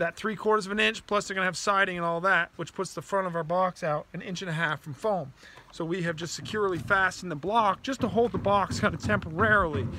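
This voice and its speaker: A man with a high voice talks at a very fast pace and ordinary pitch variation, the sound dry with no echo and light background noise behind him. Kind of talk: tutorial. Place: open country. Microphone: phone near.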